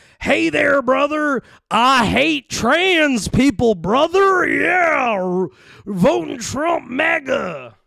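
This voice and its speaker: A put-on character voice comes from a man, pitched extremely high. The delivery is very slow. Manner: mocking.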